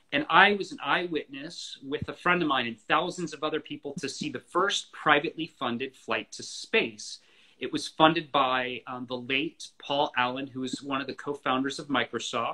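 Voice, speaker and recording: A man's fairly high-pitched, bright, sharp voice with an American accent, big swings in loudness, hardly any pauses and light background noise. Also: ordinary pitch variation, moderate pace. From US, Florida. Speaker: author of a book on the space industry; guest. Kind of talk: interview conversation. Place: home room. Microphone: video call.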